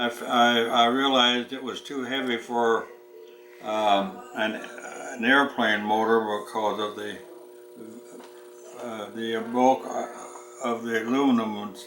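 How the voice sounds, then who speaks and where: Amid noticeable background noise and audible room echo, the speech comes at a fairly slow pace with long, frequent pauses, monotone, flat intonation and big swings in loudness. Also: man, medium pitch for a man. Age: 90s. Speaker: war veteran. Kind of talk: casual chat. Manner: halting.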